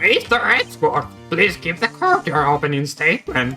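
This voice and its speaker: A put-on character voice at a middle pitch goes at a moderate pace, with faint music in the background. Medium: virtual streamer.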